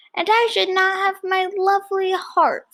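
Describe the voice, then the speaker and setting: A woman in a put-on character voice talks at a moderate pace with an extremely high pitch and fairly even intonation. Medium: read story.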